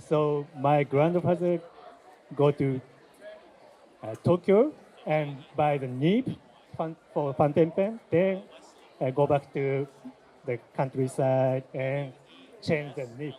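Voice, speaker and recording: Very slowly, a man speaks in a fairly high voice with ordinary pitch variation. He leaves long, frequent pauses. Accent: Japanese. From Japan. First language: Japanese. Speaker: shop owner. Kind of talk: interview. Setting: trade fair. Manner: halting, many fillers.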